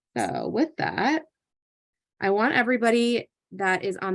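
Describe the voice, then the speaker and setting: A woman with an American accent, an unremarkable speaking voice, lively intonation and a fairly slow pace over a quiet background. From US Northeast, New Jersey. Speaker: occupational therapist and parent presenter. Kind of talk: live online panel presentation. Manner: conversational, many fillers and restarts.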